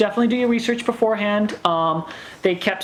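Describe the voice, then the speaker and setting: Ordinary pitch variation and a fairly quick pace, with noticeable background noise throughout. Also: woman. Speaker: vlogger. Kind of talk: casual chat. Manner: halting.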